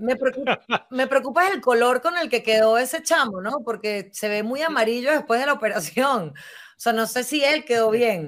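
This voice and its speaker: A woman speaks at a moderate pace in a high voice, her tone animated and her intonation lively. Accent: Venezuelan. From Venezuela. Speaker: podcast host. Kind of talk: casual chat.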